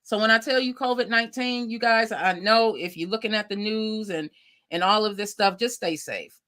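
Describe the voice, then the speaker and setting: In a very clean recording with a silent background, a woman with a fairly high pitch and a bright, sharp tone speaks at a moderate pace in an animated tone. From Lackawanna, New York. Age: 40s. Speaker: talk show host. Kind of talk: casual talk show monologue.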